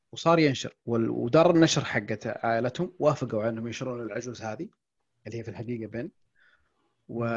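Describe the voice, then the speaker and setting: A man of medium pitch speaks at a fairly quick pace in an unremarkable speaking voice, with ordinary pitch variation and big swings in loudness. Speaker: podcast host and book-summary YouTuber. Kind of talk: casual chat.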